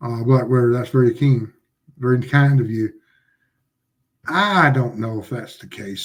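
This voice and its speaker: A man's somewhat breathy, medium-pitched voice moves at a moderate pace with ordinary pitch variation, long, frequent pauses and big swings in loudness. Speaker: streamer reading chat.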